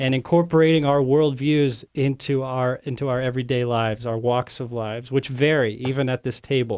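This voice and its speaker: A man talks fairly quickly in a normal speaking voice at medium pitch. He barely pauses, and his intonation stays fairly even. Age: young. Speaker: podcast co-host, seminary graduate. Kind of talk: casual panel chat. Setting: studio.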